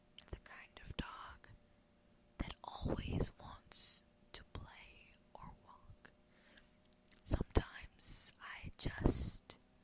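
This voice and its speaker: Someone is whispering. The pace is very slow. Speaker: ASMR creator. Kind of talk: ASMR whisper rambling to camera. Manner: whispered.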